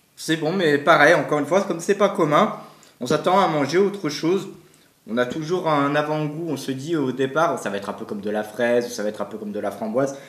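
Audible room echo follows a man talking at a moderate pace. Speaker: food taste-test vlogger. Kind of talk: casual vlog chat. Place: home room.

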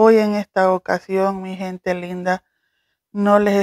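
A woman's warm-toned, medium-pitched voice at a very slow pace, dry and close with no echo. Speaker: cooking YouTuber. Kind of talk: video blog announcement. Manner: warm, slow.

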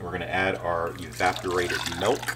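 A man keeps a moderate pace as noticeable background noise sounds behind him. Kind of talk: tutorial. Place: kitchen. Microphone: camera far.

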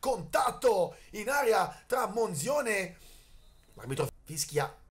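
A man shouting at a very slow pace, his pitch swinging very widely. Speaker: sports commentator. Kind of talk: live sports commentary. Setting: match commentary at a football field. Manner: excitable, shouting at goals.

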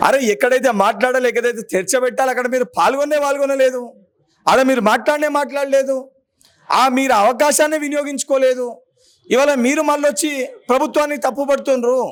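A man with a Telangana accent, extremely high in pitch, with fairly even intonation. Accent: Telangana Telugu. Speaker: politician, legislative council member. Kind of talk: political press statement. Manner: forceful, combative.

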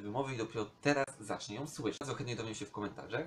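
A medium-pitched man talks with ordinary pitch variation. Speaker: vlogger. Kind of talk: casual vlog monologue.

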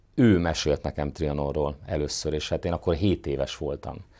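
A man talks at a fairly slow pace with ordinary pitch variation against a quiet background. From southern Hungary, near Serbian border. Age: 40s. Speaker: mayor. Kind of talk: interview. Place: studio. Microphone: lapel.

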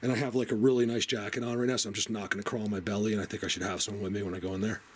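Here a man talks at a very fast pace. Light background noise sits behind him. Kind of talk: casual vlog commentary. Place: tunnel cave. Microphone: phone near.

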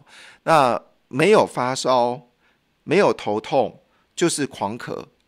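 A man with a Taiwanese accent and lively intonation against a quiet background. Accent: Taiwanese Mandarin. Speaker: radio host. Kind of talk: radio health and news talk monologue. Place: studio. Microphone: studio mic.

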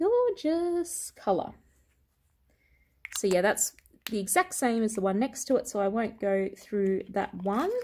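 A woman talks at a very slow pace in a dark, mellow tone that is somewhat breathy. The recording is very clean, with a silent background. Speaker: beauty vlogger. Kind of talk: product collection show-and-tell. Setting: at home.

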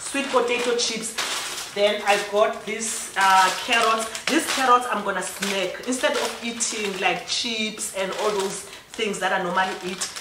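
A woman with a South African accent and a medium pitch speaks at a fairly slow pace with few pauses and fairly even intonation, with audible room echo.

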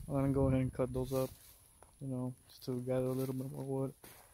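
A man's dark, mellow, monotone voice at a fairly quick pace, dry with no echo, over noticeable background noise. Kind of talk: casual vlog chat. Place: open country. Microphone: phone near.

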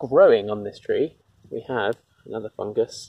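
A man speaks at a fairly slow pace. The sound is dry with no echo. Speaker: nature walk guide. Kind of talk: casual nature walk commentary. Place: forest. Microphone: phone near.

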